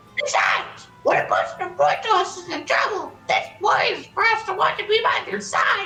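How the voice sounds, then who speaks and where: A woman puts on a character voice at an extremely high pitch, with lively intonation. She talks at a fairly quick pace with hardly any pauses over clear background noise. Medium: game stream.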